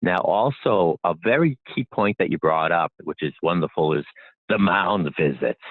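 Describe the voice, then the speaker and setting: In a Boston accent, a man with a very deep, low pitch talks at a moderate pace with lively intonation. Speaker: inventor. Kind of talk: interview.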